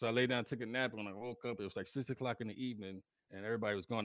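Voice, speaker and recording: A man with an American accent talks at a very fast pace in a fairly low pitch, his bright, sharp tone animated and his pitch variation ordinary, recorded very cleanly against a silent background with a dry, close sound and no echo. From New York, the Bronx. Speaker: podcast host, navy veteran. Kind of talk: casual chat. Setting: live stream.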